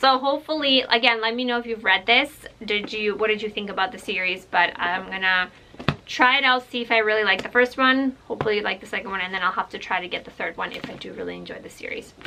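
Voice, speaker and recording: Very fast and fairly high in pitch, a woman talks with ordinary pitch variation and big swings in loudness. Noticeable background noise is present. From Ukraine. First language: Russian. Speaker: book vlogger and librarian. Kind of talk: casual vlog book haul. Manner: animated.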